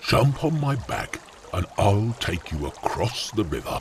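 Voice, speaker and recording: A man uses a put-on character voice at a medium pitch. He goes fairly slowly, with clear background noise behind him. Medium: audio drama.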